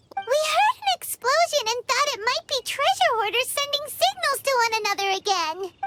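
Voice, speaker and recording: A put-on character voice, extremely high-pitched and squeaky, energetic in tone, at a moderate pace with hardly any pauses. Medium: video game. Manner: excitable, energetic.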